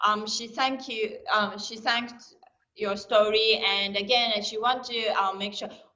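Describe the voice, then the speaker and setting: Fairly slow, monotone delivery with flat intonation and audible room echo. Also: woman, fairly high pitch for a woman. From Africa. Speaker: interpreter for Japanese students. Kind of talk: interpreting a question. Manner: loud.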